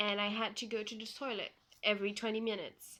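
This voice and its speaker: This woman has a bright, sharp tone and speaks with a Flemish accent. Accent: Belgian (Flemish) accent in English. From Belgium. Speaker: vlogger sharing personal health story. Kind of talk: personal testimony vlog. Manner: hesitant, many fillers.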